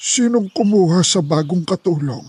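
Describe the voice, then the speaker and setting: A man uses a put-on character voice with a high pitch, speaking at a fairly slow pace. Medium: audio drama.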